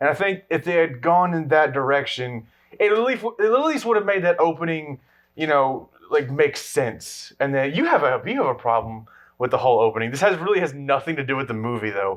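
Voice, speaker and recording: Here a man speaks at a fairly high pitch and a fairly quick pace. His intonation is lively. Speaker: movie review podcast co-host. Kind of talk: casual chat. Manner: halting.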